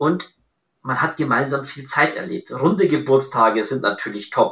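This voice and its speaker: A man speaks at a moderate pace in a bright, sharp tone. His pitch is fairly high, with ordinary variation. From Bavaria, Augsburg. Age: 30s. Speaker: entrepreneur, event decor business founder. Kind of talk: podcast interview.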